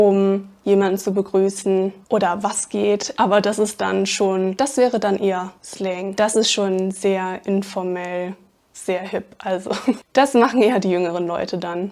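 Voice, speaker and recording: A woman talks at a medium pitch and a fairly slow pace with fairly even intonation. The recording is very clean, the background silent. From Germany, Aachen (Rhineland). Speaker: language teacher. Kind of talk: tutorial. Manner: unscripted, conversational.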